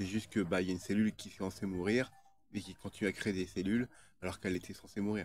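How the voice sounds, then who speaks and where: This man moves along at a fairly quick pace. His intonation stays flat and monotone. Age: 30s. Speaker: video blogger. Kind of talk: casual monologue. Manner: halting, many fillers and repetitions.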